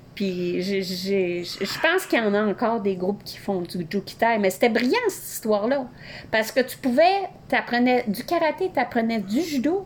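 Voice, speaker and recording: A woman speaks at a moderate pace, her fairly high voice moving through very wide pitch swings. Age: 50s. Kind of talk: casual chat.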